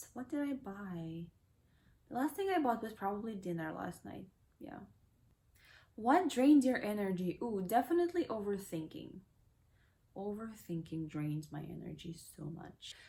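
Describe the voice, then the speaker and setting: Long, frequent pauses, a somewhat breathy quality and very wide swings in pitch. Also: woman, medium pitch for a woman, moderate pace. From Kazakhstan, Almaty. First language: Kazakh and Russian. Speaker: lifestyle vlogger. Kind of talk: casual Q&A vlog. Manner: casual, with fillers.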